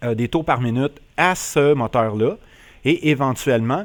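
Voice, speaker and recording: With a strong Quebec accent, a man speaks at a very slow pace. His pitch is medium and varies in an ordinary way. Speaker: flight simulator YouTuber. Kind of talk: casual tutorial narration.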